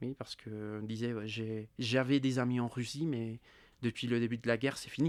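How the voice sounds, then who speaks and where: Medium-pitched male speech at a fairly slow pace, fairly even in intonation, on a very clean recording with a silent background. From Ukraine. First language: Russian (speaking French). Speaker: war witness, former school worker. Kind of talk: testimony interview. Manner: hesitant, many fillers and repetitions.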